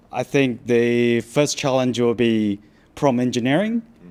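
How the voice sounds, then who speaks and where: A man with a non-native accent speaks at a medium pitch, his intonation fairly even. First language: not English. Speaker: software developer. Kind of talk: panel Q and A.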